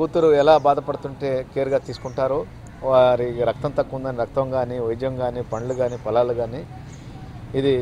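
Faint music plays behind a man's voice. His intonation is monotone and flat, and the sound is dry with no echo. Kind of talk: interview answer. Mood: earnest, appreciative. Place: street.

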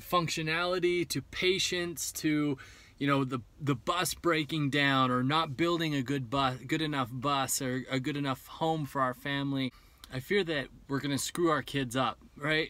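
With fairly even intonation, a man speaks at a moderate pace in a bright, sharp tone, the sound dry with no echo. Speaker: vlogger planning bus life. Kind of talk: casual vlog chat. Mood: reflective, candid about fears. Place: car.

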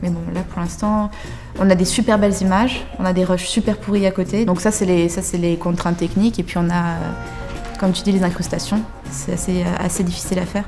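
With clear music in the background, a woman speaks at a fairly quick pace in a flat monotone. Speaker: young film director. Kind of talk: casual interview answer explaining project. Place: studio. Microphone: lapel.

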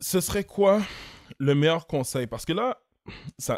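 The recording has a quiet background. A man speaks fairly slowly. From Montreal, Quebec (Haitian community). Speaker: podcast host, entrepreneur; podcast host. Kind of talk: casual chat. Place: studio. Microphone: studio mic.

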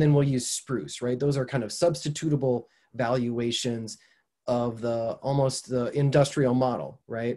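Against a quiet background, the speaker has a dark, mellow tone that is somewhat breathy. The accent is American. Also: man. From southeastern Minnesota, USA. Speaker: environmental communication professor. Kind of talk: online lecture. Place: home room. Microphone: webcam.

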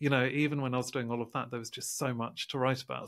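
A man with a medium pitch speaks against a quiet background. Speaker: science author. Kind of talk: interview. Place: home room. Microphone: studio mic.

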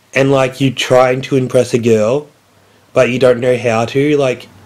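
The pace here is fairly slow. The speaker is a man. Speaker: vlogger. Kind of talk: casual vlog chat. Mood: deadpan, joking. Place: home room. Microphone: phone near.

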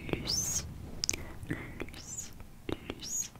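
A woman speaks in a whisper. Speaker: ASMR creator. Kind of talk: soft ASMR name triggers, whispered greetings. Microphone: studio mic.

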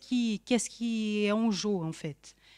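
In a quiet background, a woman speaks at a fairly slow pace. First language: Portuguese (speaking French). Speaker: social science researcher; panel discussant. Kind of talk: academic talk. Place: hall.

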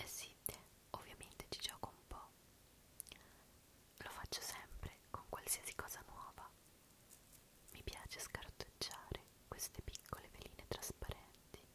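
A woman whispers at a fairly slow pace in a relaxed tone. Her speech has long, frequent pauses. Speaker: ASMR creator. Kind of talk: ASMR show and tell, soft-spoken talk to camera. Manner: soft-spoken, slow, relaxed. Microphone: studio mic.

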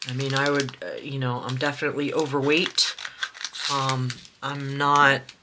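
Noticeable background noise sits behind a woman's voice. She speaks at a very deep, low pitch in a monotone, flat intonation. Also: moderate pace. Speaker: crafting video creator. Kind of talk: casual chat while crafting. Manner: halting, many restarts and fillers.

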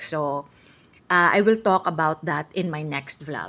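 A woman with an unremarkable speaking voice, at a fairly slow pace, with ordinary pitch variation. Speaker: vlogger. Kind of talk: casual vlog talk.

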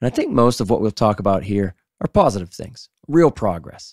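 An American-accented man at a moderate pace and fairly low pitch, on a very clean recording with a silent background and a dry, close sound with no echo. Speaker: fly fishing podcast host. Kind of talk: casual group chat.

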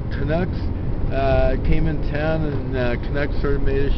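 Speaking at a moderate pace, a man is heard in a dry, echo-free sound despite loud noise behind him. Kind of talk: casual chat while driving. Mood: relaxed, laughing. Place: car.

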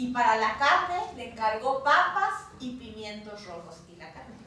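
A woman's very slow speech with very wide pitch swings, heavy with room echo. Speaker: storyteller. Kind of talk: live oral storytelling for children. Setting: live audience. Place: home room. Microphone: camera far.

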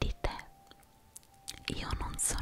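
A woman is whispering. Her tone is intense. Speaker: ASMR creator. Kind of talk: guided relaxation, motivational talk to viewer. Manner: intense whispering, soft-spoken. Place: home room. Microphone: studio mic.

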